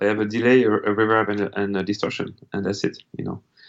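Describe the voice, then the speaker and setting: A man speaks with a French accent. His pitch is fairly low. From France. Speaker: musician. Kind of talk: interview. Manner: hesitant, many fillers.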